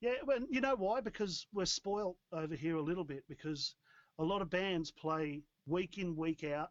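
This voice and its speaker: Heard dry and close with no echo, a man with an Australian accent speaks at a high pitch with lively intonation. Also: moderate pace. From Australia, Newcastle NSW. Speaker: rock band musician. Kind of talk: casual chat. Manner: animated.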